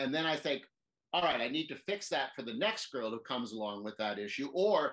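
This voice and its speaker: A man's fairly high-pitched voice at a fairly quick pace, with very wide pitch swings. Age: 60s. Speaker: girls soccer coach. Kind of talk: interview. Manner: halting.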